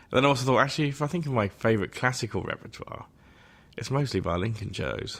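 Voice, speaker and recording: A man with an English accent talks very fast at a medium pitch, with lively intonation. The recording is very clean, with a silent background. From England. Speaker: composer. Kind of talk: interview.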